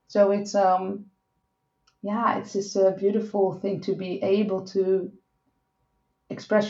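Speaking at a fairly slow pace, a woman with a Dutch accent talks at a medium pitch. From Netherlands. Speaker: sex and relationship coach. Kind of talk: interview.

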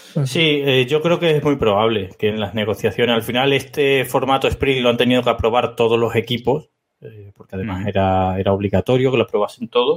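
A man talks at a medium pitch with ordinary pitch variation and hardly any pauses. His is a plain, everyday voice. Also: fairly quick pace. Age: 30s. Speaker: podcast co-host. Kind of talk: casual chat.

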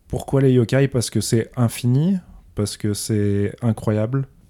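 Very slowly, a man talks in a dark, mellow tone with fairly even intonation. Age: 30s. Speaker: illustrator and graphic designer. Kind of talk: casual interview. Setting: host's living room.

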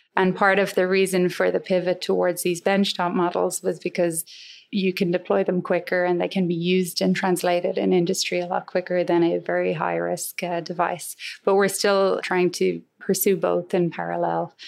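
A woman at a moderate pace, her loudness very even, on a very clean recording with a silent background. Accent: western Irish. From Ireland, Galway. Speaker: engineering professor. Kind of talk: interview.

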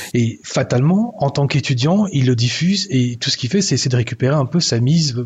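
At a moderate pace, a man with medium pitch and ordinary pitch variation speaks over noticeable background noise. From Belgium. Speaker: podcast columnist, YouTuber. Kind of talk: scripted editorial. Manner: animated.

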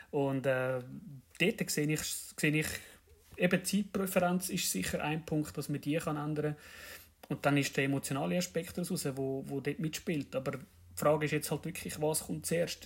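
With a Zurich accent, a man speaks at a moderate pace in a fairly high, somewhat breathy voice on a very clean recording with a silent background. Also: ordinary pitch variation. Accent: Swiss German (Zurich). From Switzerland, canton of Zurich. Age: 30s. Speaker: train driver, podcast guest. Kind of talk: casual chat.

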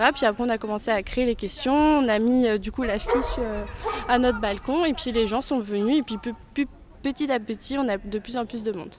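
A woman talks in a high pitch at a moderate pace, with ordinary pitch variation and noticeable background noise behind her. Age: 20s. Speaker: student, neighbourhood quiz organiser. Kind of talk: interview.

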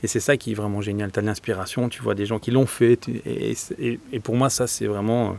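Recorded very cleanly against a silent background, a man talks at a moderate pace in an unremarkable speaking voice, fairly low in pitch, with fairly even intonation. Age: 40s. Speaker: agile coach and entrepreneur. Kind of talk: interview.

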